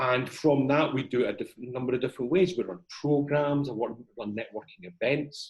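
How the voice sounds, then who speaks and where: A man speaks with a Scottish accent at a medium pitch. His pace is fairly quick and his pitch variation ordinary. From Edinburgh, Scotland. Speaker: CEO and corporate trainer. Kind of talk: interview answer.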